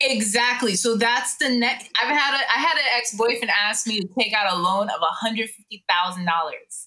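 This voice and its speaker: A woman with an American accent, fairly high pitch, ordinary pitch variation, moderate pace, and an ordinary speaking voice. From Jamaican American. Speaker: podcast co-host. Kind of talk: casual chat.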